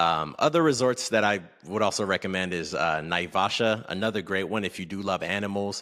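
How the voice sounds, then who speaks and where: A man with a North American accent talks at a fairly quick pace and a fairly low pitch, using ordinary pitch variation. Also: very clean recording, silent background. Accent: sounds North American. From West Africa (Togo and Kenya), moved to US at twelve. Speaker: entrepreneur and content creator. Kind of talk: interview.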